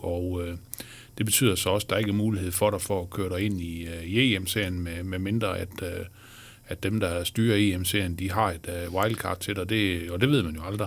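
Fairly even intonation from a man with a very deep, low voice, at a moderate pace. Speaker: sports journalist and podcast host. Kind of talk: interview. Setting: studio.

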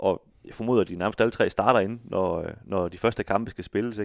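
A man talks at a medium pitch with ordinary pitch variation. The recording is very clean, with a silent background, and dry and close with no echo. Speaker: football podcast co-host. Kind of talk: casual chat. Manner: stammers on names.

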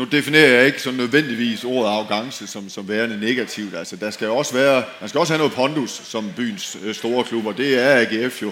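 A man's medium-pitched voice at a moderate pace, with ordinary pitch variation and hardly any pauses, amid audible room echo and noticeable background noise. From Denmark, outside Aarhus region. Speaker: former professional footballer. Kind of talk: panel discussion on stage. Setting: tent with live audience. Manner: halting, repeats words.

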